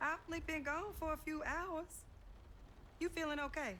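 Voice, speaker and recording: A woman uses a put-on character voice that is squeaky and extremely high. She keeps a moderate pace and very even loudness, with clear background noise behind her. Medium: video game. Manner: calm, warm.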